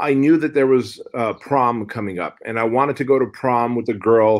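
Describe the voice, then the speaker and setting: With an ordinary speaking voice, a man talks at a medium pitch and a fairly slow pace with fairly even intonation, in a very clean recording with a silent background. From Soviet Union, raised in US from age six. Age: 40s. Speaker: fitness entrepreneur and author. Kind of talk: podcast interview. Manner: casual, conversational.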